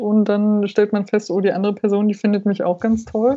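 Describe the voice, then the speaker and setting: A woman speaks with music in the background. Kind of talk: casual podcast chat.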